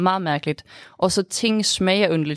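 The recording is very clean with a silent background and a dry, close sound with no echo, and the intonation is fairly even. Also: woman. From Sweden. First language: Swedish (speaking Danish). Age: 20s. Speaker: student, interviewee. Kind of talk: interview. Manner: halting, many fillers.

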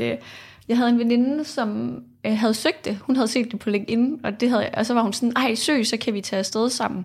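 Heard on a very clean recording with a silent background, this is an ordinary speaking voice. It moves at a fairly quick pace with fairly even intonation. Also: woman. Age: 20s. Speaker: political science student, youth panel member. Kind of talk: interview. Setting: studio.

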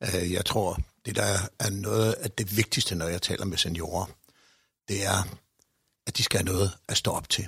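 A man speaks at a fairly slow pace with long, frequent pauses. His very deep, low voice has a bright, sharp tone and fairly even intonation. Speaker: director of senior citizens' organisation. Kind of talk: discussion. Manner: hesitant with fillers.

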